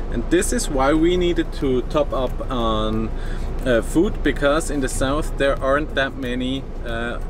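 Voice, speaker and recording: Music plays in the background as a man speaks at a moderate pace with ordinary pitch variation and a dry sound with no echo. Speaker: travel vlogger. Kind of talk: casual vlog chat. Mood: upbeat, relaxed. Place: car. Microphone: phone near.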